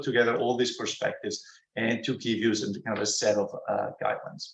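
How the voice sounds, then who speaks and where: Speaking very fast at medium pitch, a man talks with an Italian accent. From Italy. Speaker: computer science professor. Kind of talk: academic talk. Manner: halting, many fillers.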